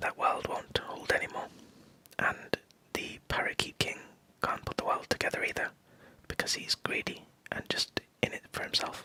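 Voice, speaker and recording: Whispering at a moderate pace with long, frequent pauses, a man comes through with a dry, close sound with no echo over noticeable background noise. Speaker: digital artist. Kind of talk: ASMR art commentary. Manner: whispered.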